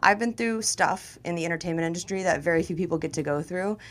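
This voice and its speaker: Over music in the background, a woman with an American accent talks at a very fast pace. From Florida (Tampa). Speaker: comedian and sports radio host. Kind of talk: casual chat. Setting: studio.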